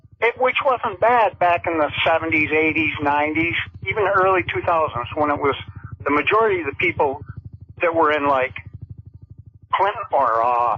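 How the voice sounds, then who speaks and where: A moderately paced voice in an American accent, with long, frequent pauses and music in the background. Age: 60s. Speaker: caller. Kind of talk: call-in radio complaint.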